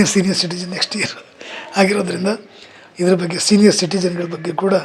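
The delivery is monotone, with flat intonation. Noticeable background noise runs underneath. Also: man. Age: 50s. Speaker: politician. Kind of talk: press statement. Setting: press meet. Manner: halting.

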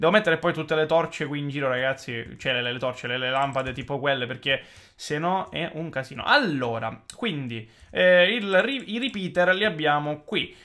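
The background stays quiet. Delivery comes at a moderate pace. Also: man. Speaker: gaming YouTuber; gaming youtuber. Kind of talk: gameplay commentary. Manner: animated. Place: home room.

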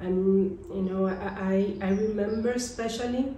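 With audible room echo and light background noise, a woman in a Spanish accent speaks fairly slowly at a medium pitch with fairly even intonation. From Colombia. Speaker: author; interviewee. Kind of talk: interview. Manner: halting. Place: home room. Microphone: camera far.

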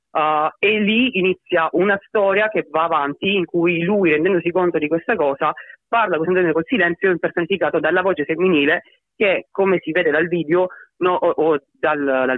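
A man speaks with a slight Sicilian accent. His pitch is high. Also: very even loudness. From Sicily. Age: 20s. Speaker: electronic/rap artist. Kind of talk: interview.

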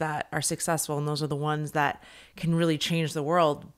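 Over a quiet background, a woman speaks with a very deep, low pitch. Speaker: podcast host. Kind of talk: casual interview. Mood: thoughtful, engaged. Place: home room. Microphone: studio mic.

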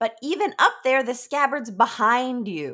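Putting on a character voice, a woman drawls at a moderate pace in a high pitch with lively intonation. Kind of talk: comic staged reading. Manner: drawling; sardonic, teasing.

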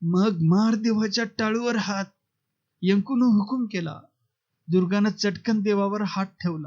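Quiet background behind a natural reading voice

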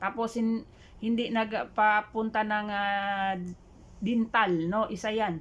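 A woman's fairly high voice, very slow and monotone, with flat intonation against a quiet background. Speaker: vlogger. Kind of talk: reaction vlog, casual talk. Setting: online video. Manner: hesitant with many fillers.

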